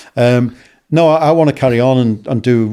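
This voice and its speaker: A man with a Liverpool accent at a fairly quick pace, dark and mellow in tone, with ordinary pitch variation. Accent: Scouse (Liverpool). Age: 60s. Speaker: football broadcaster and journalist. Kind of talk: casual interview chat. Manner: hesitant, many fillers and repetitions.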